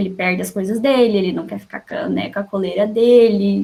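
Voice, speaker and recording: At a fairly quick pace, this woman's somewhat breathy voice moves with ordinary pitch variation. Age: 20s. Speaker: psychology student in study group. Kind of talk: casual self-introduction. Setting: video call.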